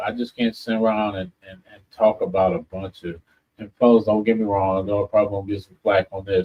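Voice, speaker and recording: At a fairly quick pace, a man speaks in a fairly low voice with fairly even intonation and big swings in loudness. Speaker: radio host. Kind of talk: casual chat. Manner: halting.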